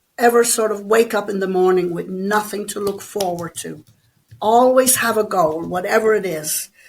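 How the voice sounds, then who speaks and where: The speaker has an Irish accent and talks at a moderate pace. The intonation stays fairly even. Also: woman, medium pitch for a woman. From Ireland. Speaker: bodybuilder and personal trainer. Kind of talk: interview.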